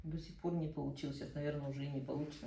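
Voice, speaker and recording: A woman talks at a very fast pace in a dark, mellow tone with vocal fry, and room echo is audible. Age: 60s. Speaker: cancer survivor attending art class. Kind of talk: casual chat.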